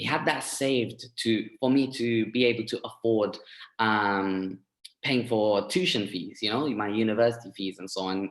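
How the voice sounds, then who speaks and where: A man with a London accent speaks at a moderate pace and medium pitch, with ordinary pitch variation. The recording is very clean, with a silent background. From east London, England. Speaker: forex trader sharing success story. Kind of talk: testimony. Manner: halting, many fillers.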